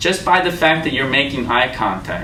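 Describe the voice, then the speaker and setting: An animated man with an American accent, fairly high pitch and lively intonation, amid noticeable background noise and audible room echo. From Korean American. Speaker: career coach giving interview advice. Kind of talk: lecture.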